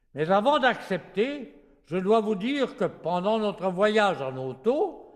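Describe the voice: The words are read aloud plainly, with intonation that stays lively.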